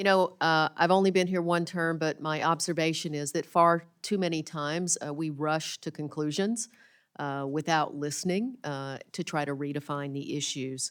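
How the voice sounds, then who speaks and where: A woman with a Southern US accent speaks at a moderate pace, her pitch very deep and low with ordinary variation. The recording is very clean, with a silent background. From rural Arkansas. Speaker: congresswoman. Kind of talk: committee hearing statement.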